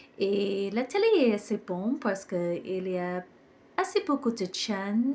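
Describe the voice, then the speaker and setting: A woman with an English accent speaks in a dark, mellow tone. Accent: English-speaking accent in French. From Ireland. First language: English (speaking French). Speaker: hotel reviewer vlogger. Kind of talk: vlog walkthrough review. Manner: occasional hesitations and self-corrections.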